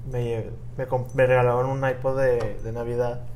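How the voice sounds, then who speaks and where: Against audible room echo, a man of medium pitch speaks in a somewhat breathy voice. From Mexico, Puebla. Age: 20s. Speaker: podcast host. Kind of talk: casual chat. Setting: hotel in Cancún, improvised recording.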